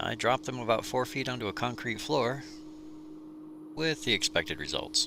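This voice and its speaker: Long, frequent pauses from a man at a moderate pace, amid noticeable background noise. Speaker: DIY video creator. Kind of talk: tutorial; personal story.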